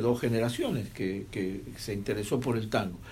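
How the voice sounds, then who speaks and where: In a room with audible echo, a man speaks at a moderate pace in a somewhat breathy voice. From Argentina, Buenos Aires. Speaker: radio host. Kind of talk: casual chat.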